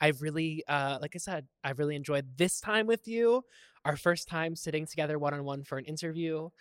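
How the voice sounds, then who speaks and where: With a plain, everyday voice, a man talks at a fairly quick pace with ordinary pitch variation, recorded dry and close with no echo. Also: fairly high pitch for a man. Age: 30s. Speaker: podcast host. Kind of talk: casual chat; scripted narration.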